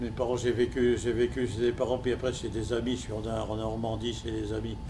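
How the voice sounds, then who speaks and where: A man at medium pitch at a fairly quick pace, with noticeable background noise and audible room echo. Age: 90s. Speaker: war veteran and concentration camp survivor. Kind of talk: testimony. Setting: school hall with students. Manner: halting, many repetitions.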